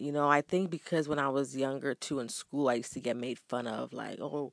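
A woman speaks with a very deep, low pitch and a warm tone at a moderate pace. The sound is dry and close with no echo, over a quiet background. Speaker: podcaster. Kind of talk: casual monologue. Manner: warm and motivational.

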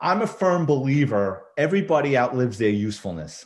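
A man with a New York accent speaks at a fairly slow pace. The background is quiet. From New York City, the Bronx. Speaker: retired police detective and crime author. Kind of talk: casual interview.

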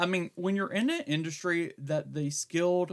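With fairly even intonation, a man talks at a moderate pace in an ordinary speaking voice. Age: 60s. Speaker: podcast host and veteran pet groomer. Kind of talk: casual co-hosted podcast recap.

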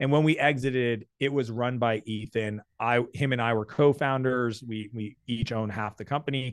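In an unremarkable speaking voice, a man with a medium pitch talks at a moderate pace with fairly even intonation. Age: 40s. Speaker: entrepreneur. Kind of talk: interview.

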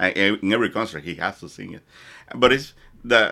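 A man with a Dominican accent speaks at a moderate pace in a fairly low pitch with a bright, sharp tone. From Dominican Republic. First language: Spanish. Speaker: podcast guest, hotel worker. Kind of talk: casual interview chat. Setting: studio, face to face.

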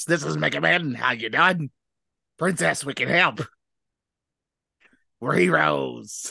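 A man puts on a raspy, upbeat character voice at medium pitch with very wide pitch swings. He talks at a fairly slow pace with long, frequent pauses. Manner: heroic, upbeat, cartoonish.

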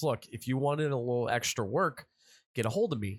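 A plain, everyday voice from a man, moderate in pace with ordinary pitch variation, in a very clean recording with a silent background. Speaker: podcast host. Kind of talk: casual banter, comedic.

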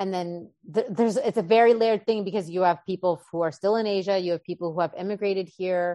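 A woman with a Canadian accent, medium pitch and ordinary pitch variation, in a dark, mellow tone with a dry, close sound, no echo and a quiet background. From Canada, Winnipeg. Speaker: acupuncturist. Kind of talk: interview.

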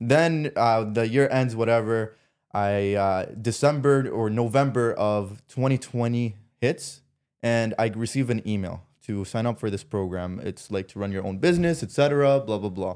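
A man with a Canadian accent, medium-pitched, at a fairly slow pace with ordinary pitch variation, on a very clean recording over a silent background. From Canada, Ottawa. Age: 20s. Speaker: entrepreneur and business coach. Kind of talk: casual chat. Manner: animated.

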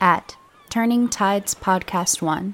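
An unremarkable speaking voice from a woman at medium pitch. Her intonation stays fairly even. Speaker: podcast announcer. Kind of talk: scripted intro and outro announcement.

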